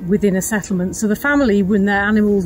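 A woman at a fairly quick pace in a monotone, flat intonation, with a dry sound with no echo and faint music in the background. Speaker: nature reserve guide. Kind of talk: guided tour explanation to camera. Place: open country. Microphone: lapel.

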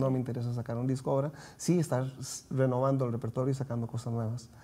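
A man speaks very fast in a dark, mellow tone. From Costa Rica. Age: 50s. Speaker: singer-songwriter; guest. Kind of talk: TV interview. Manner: hesitant, many fillers. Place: studio. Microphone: lapel.

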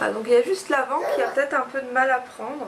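At a fast pace, a woman with a high voice speaks with ordinary pitch variation over faint background noise.

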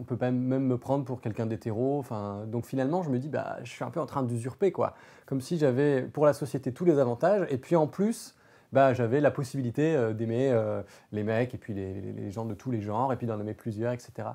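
Big swings in loudness run through a man's dark, mellow tone at a fairly quick pace. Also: medium pitch for a man, ordinary pitch variation. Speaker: podcast guest. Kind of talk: casual chat. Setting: studio. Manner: halting, many hesitations. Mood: reflective, thoughtful. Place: studio. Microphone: lapel.

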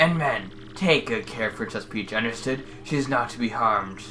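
A man's put-on character voice, medium in pitch, at a moderate pace over clear background noise. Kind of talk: comic game-dialogue reading. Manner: menacing, condescending.

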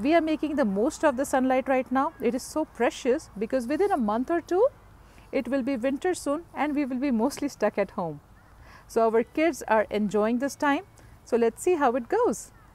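Lively intonation comes at a moderate pace in a dry sound with no echo. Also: woman, high pitch for a woman. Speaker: cooking vlogger. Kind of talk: casual vlog chat. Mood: cheerful, warm. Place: garden. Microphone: earbuds.

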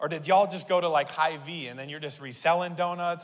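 A man delivers his words fairly quickly. His pace stays on the brisk side. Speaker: pastor. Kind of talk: sermon. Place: church. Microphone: handheld.

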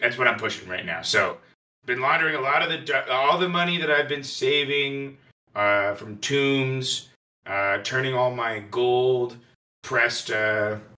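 A man uses a put-on character voice at medium pitch and a moderate pace. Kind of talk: improvised comic interview answer.

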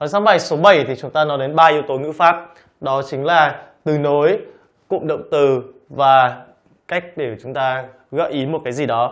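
Over a quiet background, a man with a fairly high pitch speaks at a fairly slow pace with fairly even intonation and long, frequent pauses. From Vietnam. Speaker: English teacher. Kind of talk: lecture. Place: studio.

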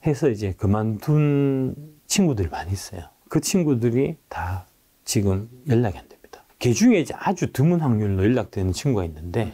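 Speaking at a moderate pace in a dark, mellow tone, a man shows very wide pitch swings and big swings in loudness. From South Korea. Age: 50s. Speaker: former stock analyst and company executive; former stock analyst. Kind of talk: interview with slide presentation. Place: studio.

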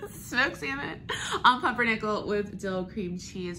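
A woman's voice moves at a moderate pace, its pitch varying in an ordinary way, with light noise behind it. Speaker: travel vlogger. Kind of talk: casual vlog chat. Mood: cheerful, laughing. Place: home room. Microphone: phone near.

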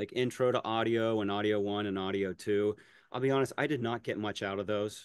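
In a normal speaking voice, a man with an American accent talks at a fairly quick pace and fairly low pitch, with fairly even intonation and a dry sound with no echo. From western Pennsylvania. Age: 40s. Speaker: music teacher and mashup creator. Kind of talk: casual interview. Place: home room. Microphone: webcam.

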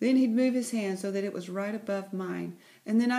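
With ordinary pitch variation, the clip is reading aloud in a natural voice.

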